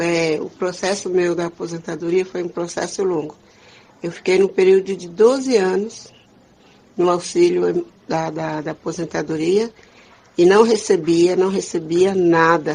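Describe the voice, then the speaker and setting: A woman with a normal speaking voice talks at fairly low pitch and a fairly slow pace. Her intonation is fairly even, though her loudness swings widely. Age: 60s. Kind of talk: interview.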